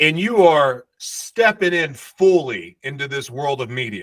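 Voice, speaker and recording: In a very clean recording with a silent background, a man speaks at a fairly high pitch with lively intonation, an animated tone, and a bright, sharp tone. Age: 40s. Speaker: podcast host. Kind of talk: casual chat.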